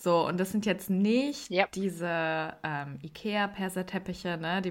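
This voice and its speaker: A normal speaking voice from a woman, fairly low in pitch with ordinary pitch variation, at a fairly slow pace on a very clean recording with a silent background. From Germany. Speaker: podcast host and TV editor. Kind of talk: casual chat.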